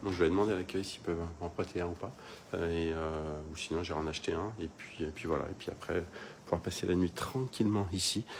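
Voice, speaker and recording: Very deep, low male speech, fairly quick and fairly even in intonation. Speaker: travel vlogger. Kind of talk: casual vlog tour. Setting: hostel room. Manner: halting, many fillers; soft-spoken.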